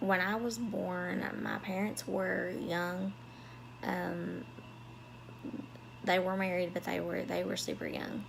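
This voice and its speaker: The speaker talks at a very slow pace in a Southern US accent, with long, frequent pauses. Noticeable background noise and audible room echo fill the recording. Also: woman. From US South. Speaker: vlogger. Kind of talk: personal storytelling vlog. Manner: halting, many fillers.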